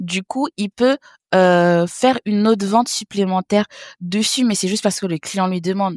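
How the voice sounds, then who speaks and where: A woman with a plain, everyday voice speaks at a moderate pace, medium in pitch with ordinary pitch variation. The recording is very clean, with a silent background and a dry, close sound with no echo. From French Guiana (born in Haiti). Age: 30s. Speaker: business developer and entrepreneur. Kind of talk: interview.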